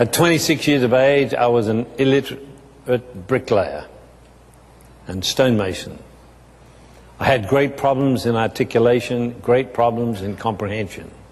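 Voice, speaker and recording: With an Australian accent, a man speaks and his pitch varies in an ordinary way. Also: medium pitch for a man, moderate pace. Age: 70s. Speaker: businessman. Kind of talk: testimony.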